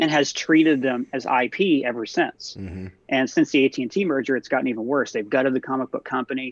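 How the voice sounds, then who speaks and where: Against a quiet background, a man in a normal speaking voice talks at a fairly quick pace with a medium pitch and ordinary pitch variation, the sound dry and close with no echo. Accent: American. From Ohio, small town. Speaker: film and TV video host. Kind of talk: casual chat.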